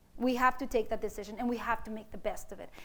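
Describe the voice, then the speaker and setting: A woman with a Mexican accent talks at a fairly quick pace with a high pitch. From East Los Angeles, born in Mexico. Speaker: mathematics professor. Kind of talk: public lecture. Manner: animated.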